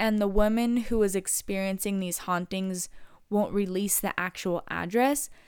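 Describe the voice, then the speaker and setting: A woman with an American accent, medium pitch and moderate pace, on a very clean recording with a silent background. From Inland Empire, California. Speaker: podcast host. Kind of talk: scripted storytelling narration. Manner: casual, filler-heavy.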